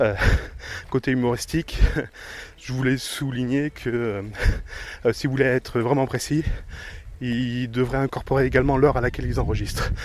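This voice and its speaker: Speaking at a fairly slow pace, a man uses a medium pitch with vocal fry. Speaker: podcaster. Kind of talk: casual monologue. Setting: outdoors, countryside. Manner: halting, stumbling.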